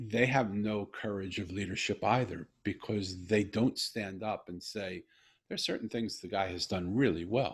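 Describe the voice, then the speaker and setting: A man with an American accent speaks at a moderate pace in a fairly low, somewhat breathy voice. His intonation is fairly even, and the recording is very clean with a silent background. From US. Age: 60s. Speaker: podcast host. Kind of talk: casual conversation.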